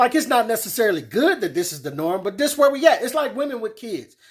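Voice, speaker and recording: Lively intonation marks this man's speech, captured in a very clean recording with a silent background. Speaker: commentary YouTuber. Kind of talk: casual commentary monologue.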